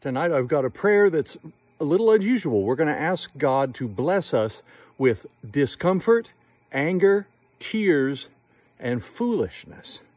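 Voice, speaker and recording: Pitch swings very widely while the pace stays fairly slow. Long, frequent pauses break up the dry sound with no echo. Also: man, fairly high pitch for a man. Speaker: prayer leader vlogger. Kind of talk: fervent evening prayer, led aloud. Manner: earnest, heartfelt, measured. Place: open country. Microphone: phone near.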